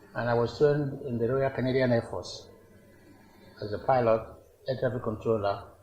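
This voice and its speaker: This man has a Nigerian accent, a moderate pace and fairly even intonation. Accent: Nigerian Igbo English. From Nigeria, Igbo, Awka in Anambra. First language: Igbo. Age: 80s+. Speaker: traditional ruler. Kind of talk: interview. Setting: palace.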